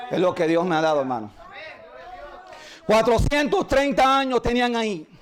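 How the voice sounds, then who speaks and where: A man talking at a moderate pace. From Puerto Rico. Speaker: pastor. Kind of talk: sermon.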